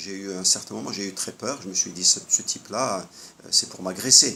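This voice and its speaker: Moderate pace and ordinary pitch variation amid noticeable background noise. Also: man. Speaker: health vlogger. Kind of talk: monologue. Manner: hesitant.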